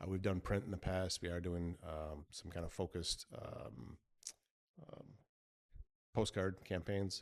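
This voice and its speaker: This man has a Midwestern US accent and speaks at a fairly slow pace with fairly even intonation. His loudness swings widely, and he takes long, frequent pauses. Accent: US Midwest. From US Midwest, Michigan. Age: 50s. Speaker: small business owner. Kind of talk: interview.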